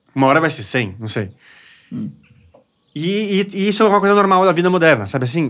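The pace is fairly quick despite long, frequent pauses, and the pitch swings very widely. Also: man, fairly high pitch for a man. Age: 40s. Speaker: music journalist, DJ and drummer. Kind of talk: casual chat.

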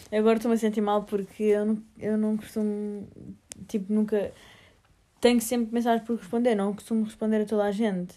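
The tone is dark and mellow, with a European Portuguese accent. The intonation stays monotone and flat. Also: woman, fairly high pitch for a woman, fairly quick pace. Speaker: podcast co-host. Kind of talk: casual chat. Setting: lying in bed at night.

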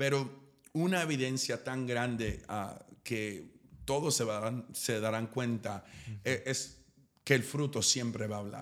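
Ordinary pitch variation marks a plain, everyday voice that proceeds fairly slowly. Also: man, medium pitch for a man. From East Texas. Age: 30s. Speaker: pastor. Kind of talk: casual chat.

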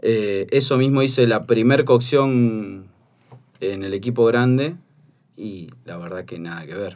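In an ordinary speaking voice, a man of medium pitch talks at a fairly slow pace, with ordinary pitch variation and big swings in loudness. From Buenos Aires area, Argentina. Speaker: craft brewery owner. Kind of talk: casual chat.

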